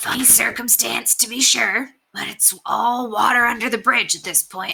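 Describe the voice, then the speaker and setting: A put-on character voice, raspy and fairly high in pitch, at a moderate pace. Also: female-sounding voice. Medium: read story. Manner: cocky, breezy.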